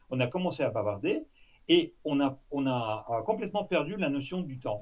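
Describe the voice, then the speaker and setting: The speaker talks at a fairly slow pace in a Russian accent with lively intonation. The voice is somewhat breathy. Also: man. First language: Russian (speaking French). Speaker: former intelligence officer. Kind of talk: interview. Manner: halting, many fillers.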